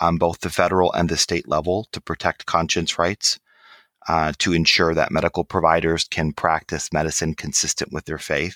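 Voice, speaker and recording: A man speaks with an American accent in a bright, sharp tone. The recording is very clean, with a silent background and a dry, close sound with no echo. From Michigan, US Midwest. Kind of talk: interview.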